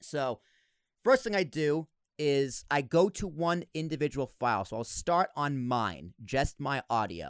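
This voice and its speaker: The recording is very clean with a silent background and has a dry, close sound with no echo. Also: man, fairly high pitch for a man, lively intonation. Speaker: podcast host and editor. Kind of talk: casual tutorial conversation. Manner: fast talker; mumbles at times.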